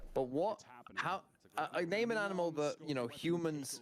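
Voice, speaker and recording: Noticeable background noise sits under a man speaking with lively intonation and a British accent. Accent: British-sounding pronunciation of horse. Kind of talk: casual chat. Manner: loud.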